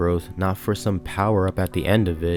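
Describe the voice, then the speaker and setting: A man's very deep, low voice at a moderate pace with ordinary pitch variation, music in the background. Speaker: video essayist. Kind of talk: video essay narration.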